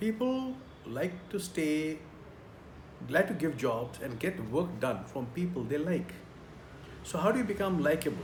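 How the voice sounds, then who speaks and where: A man with a fairly high pitch talks at a fairly slow pace with very wide pitch swings. Long, frequent pauses and audible room echo mark the clip. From India. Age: 60s. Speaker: career trainer. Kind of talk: tutorial.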